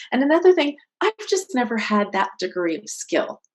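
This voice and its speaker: A woman speaks with a West Coast US accent. Her pace is moderate. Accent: General American (West Coast). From California, US (San Jose). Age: 50s. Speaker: author and martial arts instructor. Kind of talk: interview conversation.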